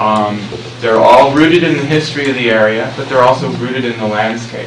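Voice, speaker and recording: A man talks at a fairly quick pace and medium pitch, with ordinary pitch variation. Audible room echo and noticeable background noise surround him. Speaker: presenter on scenic byway planning. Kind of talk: public presentation. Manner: loud.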